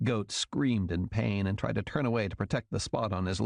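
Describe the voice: Simply plain reading aloud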